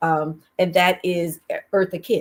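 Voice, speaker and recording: A woman with a Southern US accent and a fairly low pitch. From US South, Alabama. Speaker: singer and performer. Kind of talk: talk show interview.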